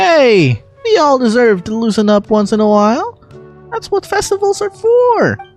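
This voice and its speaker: A put-on character voice sits at a fairly high pitch and moves at a moderate pace. Faint music plays in the background. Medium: fan dub. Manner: energetic.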